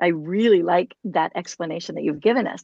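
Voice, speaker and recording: A woman speaks with an American accent. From United States. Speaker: podcast host, music curriculum founder. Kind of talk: interview conversation.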